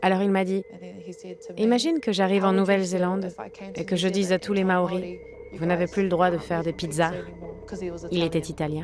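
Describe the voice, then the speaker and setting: Over noticeable background noise, a woman of medium pitch talks at a fairly quick pace with fairly even intonation and long, frequent pauses. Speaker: voice actress. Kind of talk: documentary voice-over dub. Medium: dub.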